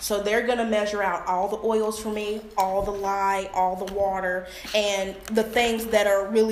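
Against noticeable background noise and audible room echo, a woman speaks in a monotone, flat way. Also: hardly any pauses. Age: 20s. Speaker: small business owner, soap maker. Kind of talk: product presentation.

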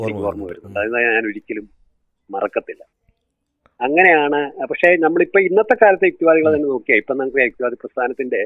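A man's fairly high voice rises and falls in very wide pitch swings. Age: 70s. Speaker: doctor and rationalist writer. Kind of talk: interview.

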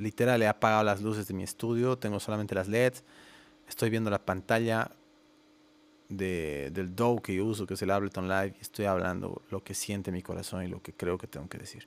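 Speaking at a fairly quick pace, the man has a fairly low pitch and ordinary pitch variation. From Bolivia, La Paz. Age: 30s. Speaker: music producer and podcast host. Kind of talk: solo podcast monologue. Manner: hesitant fillers, casual.

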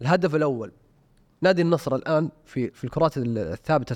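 Over a quiet background, a man talks in an ordinary speaking voice at a fairly quick pace. His intonation is lively, and the sound is dry and close with no echo. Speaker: football pundit. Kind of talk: casual chat.

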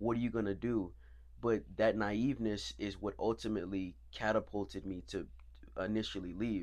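A man with an American accent speaks at a moderate pace. His pitch is fairly low, with vocal fry. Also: ordinary pitch variation. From Florida. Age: 20s. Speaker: actor. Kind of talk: interview. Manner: hesitant.

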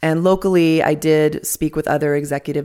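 A woman at a moderate pace, on a very clean recording with a silent background. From Albuquerque, New Mexico. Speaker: nurse midwife and birth center director. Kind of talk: interview.

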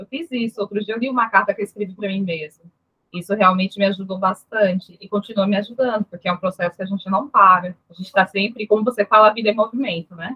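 A woman's medium-pitched voice at a very fast pace, fairly even in intonation, with big swings in loudness. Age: 30s. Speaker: nurse technician. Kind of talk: interview.

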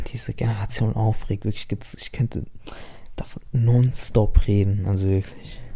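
A man speaks at a fairly slow pace in a dark, mellow, somewhat breathy tone with monotone, flat intonation. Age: 20s. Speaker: podcaster. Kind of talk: casual monologue. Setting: home. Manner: halting. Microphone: mic problems.

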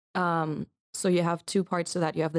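Recorded very cleanly against a silent background, a woman with a fairly low voice speaks at a fairly quick pace with fairly even intonation, the sound dry and close with no echo. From Germany, Munich. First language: German. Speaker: psychology student. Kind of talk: interview. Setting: studio.

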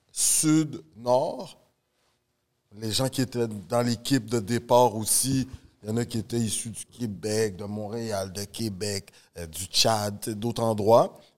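A man at a very slow pace, with big swings in loudness and long, frequent pauses. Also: medium pitch for a man, ordinary pitch variation. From Montreal, Canada. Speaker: podcast host, teacher. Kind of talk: casual chat, interview.

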